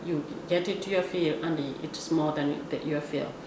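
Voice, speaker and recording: Speaking with a Kenyan accent, a woman keeps a fairly slow pace. Noticeable background noise and audible room echo surround her voice. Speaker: vlogger. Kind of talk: casual monologue. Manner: halting.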